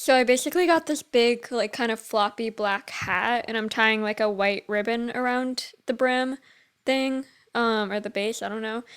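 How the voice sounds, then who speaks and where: This woman has an unremarkable speaking voice, fairly high in pitch with ordinary pitch variation. She talks at a moderate pace on a very clean recording against a silent background. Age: 20s. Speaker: podcast co-host. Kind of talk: casual chat.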